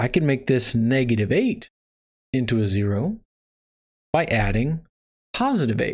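With an American accent and lively intonation, a man speaks at a moderate pace and very even loudness, leaving long, frequent pauses over a quiet background. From Texas. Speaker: math instructor. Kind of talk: lecture. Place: home room.

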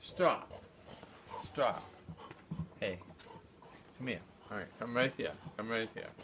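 A man with an American accent speaks at a fairly slow pace, leaving long, frequent pauses. Noticeable background noise runs under his voice. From Massachusetts, Nantucket. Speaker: war veteran. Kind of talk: oral history interview. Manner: halting. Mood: reflective, somber recollection. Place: home room. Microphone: phone near.

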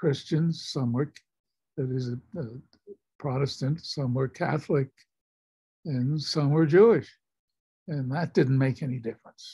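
Speaking at a fairly slow pace with an American accent, the voice is dark, mellow and somewhat breathy, with ordinary pitch variation over a quiet background. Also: man. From United States. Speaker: war veteran. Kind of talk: storytelling to a class. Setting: video call. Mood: earnest, reflective. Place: home room. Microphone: video call.

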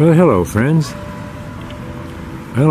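Music plays in the background of this dry recording with no echo. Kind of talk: casual vlog commentary. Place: open country. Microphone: phone near.

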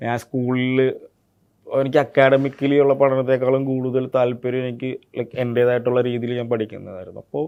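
A man talks at a medium pitch. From Kerala, India (Idukki, then Ernakulam from age 7). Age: 20s. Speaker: actor. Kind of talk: interview. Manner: words not fully pronounced.

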